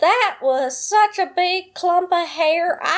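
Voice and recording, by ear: In a put-on character voice, a woman drawls with a Southern accent at a very slow pace, her pitch extremely high.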